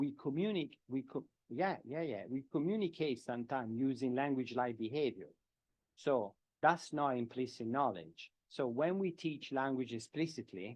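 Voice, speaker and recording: A man with a strong Italian accent speaks at medium pitch and a moderate pace with lively intonation. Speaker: professor of education. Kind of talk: lecture Q&A answer. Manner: halting, with repetitions.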